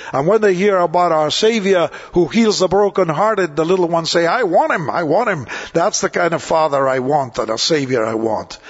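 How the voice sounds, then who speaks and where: A man speaks loud and animated at a fairly quick pace, his pitch high. Noticeable background noise runs behind him. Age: 80s+. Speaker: evangelist preacher. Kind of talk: sermon. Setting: church.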